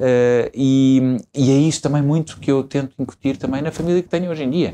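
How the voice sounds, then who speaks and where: Over light background noise, a man's dark, mellow voice holds a fairly even intonation. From Portugal, Lisbon area (Estoril coast); Portugal. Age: 40s. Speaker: politician and lawyer, father of seven; politician, lawyer. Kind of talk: interview; interview answer. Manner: hesitant, many fillers and repetitions. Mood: relaxed, warm storytelling. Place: studio. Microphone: lapel.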